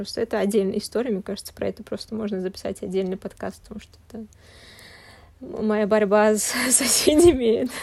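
A woman's fairly high-pitched voice at a moderate pace, with ordinary pitch variation. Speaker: podcast host. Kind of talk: casual chat.

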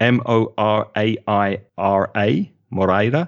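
A man's medium-pitched voice with a London accent. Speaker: English teacher. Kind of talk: interview.

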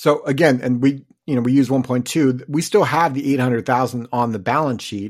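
With an unremarkable speaking voice, a man talks at a medium pitch and a fairly quick pace with ordinary pitch variation in a very clean recording with a silent background. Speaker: podcast host and financial advisor. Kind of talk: casual chat.

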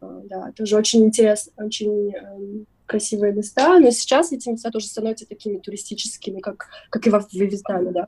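At a moderate pace, a woman with an unremarkable speaking voice talks at a medium pitch with fairly even intonation. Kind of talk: casual interview chat.

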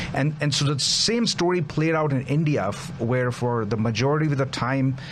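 A man's pitch moves an ordinary amount as he talks through noticeable background noise. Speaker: commentator on India-US relations. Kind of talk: political talk show interview. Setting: studio.

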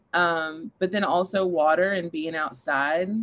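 A woman's fairly low-pitched voice in a Kentucky accent, with fairly even intonation and a quiet background. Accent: Kentucky Southern. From Kentucky, Paducah. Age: 30s. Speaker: clinical counselor and life coach. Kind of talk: casual interview chat.

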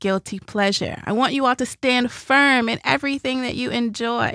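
A woman with a Nashville accent speaks at a moderate pace in a high voice with fairly even intonation. The recording is very clean with a silent background, in a dry, close sound with no echo. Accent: Southern US (Nashville). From Nashville, Tennessee. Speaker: podcast host. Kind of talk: casual conversational podcast with ad reads.

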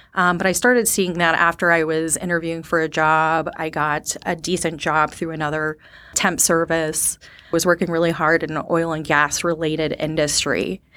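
A woman with an American accent speaks at a moderate pace in a bright, sharp tone, her fairly low pitch held in a monotone, flat intonation. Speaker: sales development representative. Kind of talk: interview.

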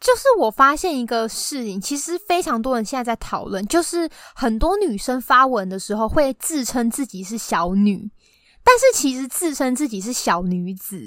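A woman talks at a moderate pace in a high voice that swings very widely in pitch. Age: 20s. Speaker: podcast guest. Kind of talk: casual chat. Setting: remote recording.

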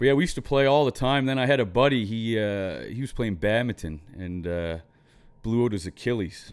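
This man has a normal speaking voice, medium in pitch, with lively intonation at a fairly quick pace. The recording is very clean, with a silent background. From Nova Scotia, Canada. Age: 30s. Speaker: professional hockey player. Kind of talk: casual interview chat.

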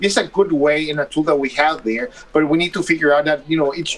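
A man's fairly high-pitched voice moves at a fairly quick pace against noticeable background noise. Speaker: doctor. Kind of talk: expert interview.

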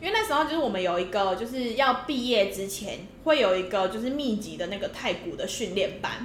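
A woman speaks at a fairly quick pace with a fairly high pitch and lively intonation, her voice carrying audible room echo over noticeable background noise. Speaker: podcast co-host. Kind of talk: casual chat.

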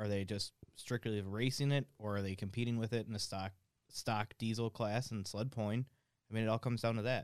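Monotone and flat, a man speaks at a fairly quick pace. The sound is dry and close, with no echo. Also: medium pitch for a man. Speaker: fabricator and turbo builder. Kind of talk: casual shop chat.

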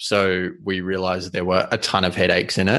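A man speaks at a fairly low pitch with a bright, sharp tone against a quiet background. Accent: Australian. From Australia. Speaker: content agency founder. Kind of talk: interview.

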